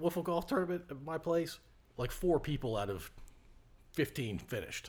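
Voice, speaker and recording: Vocal fry runs through a man's fairly high-pitched voice, which moves at a moderate pace with lively intonation. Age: 50s. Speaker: podcast host. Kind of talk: casual interview chat.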